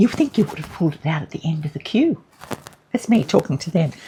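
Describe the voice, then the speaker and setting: A woman with an Australian accent, fairly quick, with very wide pitch swings. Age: 70s. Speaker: relationship and grief counsellor, vlogger. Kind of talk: casual monologue. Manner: animated.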